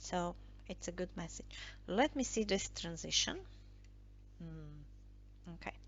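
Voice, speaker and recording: Talking at a very slow pace with long, frequent pauses, a woman speaks in a non-native accent. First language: not English. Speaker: tarot and I Ching card reader. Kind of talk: tarot reading monologue. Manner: halting, many fillers.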